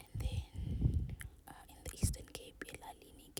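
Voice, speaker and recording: A woman whispering in a gentle tone. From South Africa, Eastern Cape. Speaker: ASMR creator. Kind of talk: casual talk to camera, voiceover. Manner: soft-spoken, gentle.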